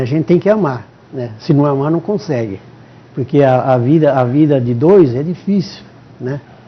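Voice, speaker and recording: A man's voice moves along at a moderate pace. Background noise is noticeable throughout. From São Paulo state, Brazil. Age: 70s. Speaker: retired father of a police chief. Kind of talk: TV interview. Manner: halting, with many repetitions.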